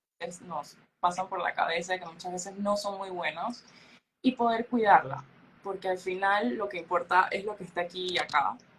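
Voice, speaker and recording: At a fairly slow pace, a woman talks in a normal speaking voice at a medium pitch. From Panama. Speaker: beauty pageant queen. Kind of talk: interview. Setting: podcast.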